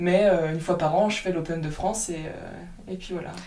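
A woman's fairly low, flat, monotone voice amid noticeable background noise and audible room echo. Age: 20s. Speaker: golfer and speed golfer. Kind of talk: interview. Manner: hesitant, many fillers.

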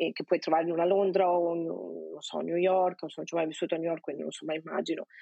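A woman with a fairly low-pitched voice speaks in a Venetian accent. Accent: Venetian Italian. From Veneto, province of Venice. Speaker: Italian emigrant interviewee. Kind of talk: casual interview.

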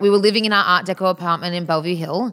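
With an Australian accent, a woman talks at a fairly quick pace. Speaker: eyewear designer. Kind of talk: interview conversation.

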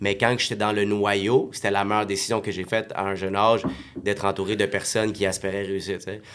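The speech comes at a fairly quick pace in a monotone, flat intonation, with noticeable background noise. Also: man, fairly low pitch for a man. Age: 30s. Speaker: network marketing entrepreneur. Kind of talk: casual chat.

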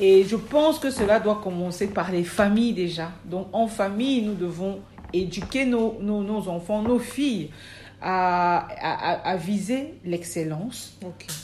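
At a very slow pace, a woman speaks in a dark, mellow, somewhat breathy tone with ordinary pitch variation. Audible room echo surrounds her voice. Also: medium pitch for a woman. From Cameroon. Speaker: midwife and midwifery trainer. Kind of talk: interview. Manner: hesitant, many fillers.

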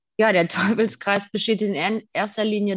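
Against a quiet background, a woman speaks in an unremarkable speaking voice at a fairly high pitch and a fairly slow pace. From Germany, Detmold (Westphalia). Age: 20s. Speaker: daycare educator sharing recovery from eating disorder. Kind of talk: interview.

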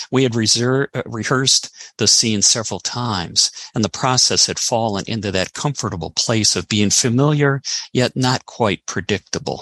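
A man speaks at a moderate pace and medium pitch, the sound dry and close with no echo. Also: ordinary pitch variation. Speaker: author.

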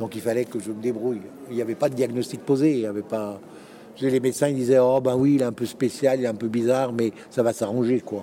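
In a normal speaking voice, a man at medium pitch talks at a fairly quick pace with fairly even intonation. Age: 60s. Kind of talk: interview. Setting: conference venue.

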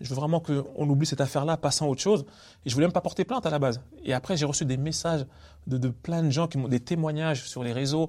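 A man speaks very fast in a fairly high pitch, his dark, mellow tone somewhat breathy, with ordinary pitch variation. The recording is very clean, with a silent background. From Paris suburbs, Villiers-le-Bel. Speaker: comedian. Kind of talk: casual interview. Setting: theatre venue.

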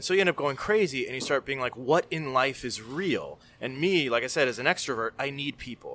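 The recording is very clean, with a silent background. A man speaks at medium pitch in a bright, sharp tone with ordinary pitch variation. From Miami, Florida (Cuban-American). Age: 30s. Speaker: screenwriter. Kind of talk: casual chat. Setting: studio.

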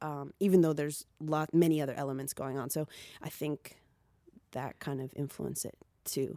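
Her very deep, low voice shows big swings in loudness as this woman talks at a moderate pace with fairly even intonation. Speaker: musician rapper singer. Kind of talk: casual interview chat. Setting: studio interview after sound check.

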